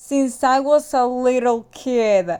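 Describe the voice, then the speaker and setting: A woman speaks in a high pitch with a Spanish accent. The background is quiet. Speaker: movie reviewer. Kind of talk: casual review monologue.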